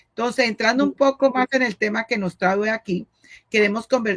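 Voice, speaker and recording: A woman's fairly high voice at a moderate pace with ordinary pitch variation, dry and close with no echo, music playing in the background. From Colombia, Cali. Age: 60s. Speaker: pastor's wife and missionary. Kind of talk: interview. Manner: halting.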